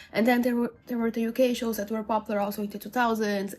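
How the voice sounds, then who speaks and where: There is noticeable background noise as a woman speaks in a high pitch. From Brazil. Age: 20s. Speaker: book YouTuber. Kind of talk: casual vlog talk to camera.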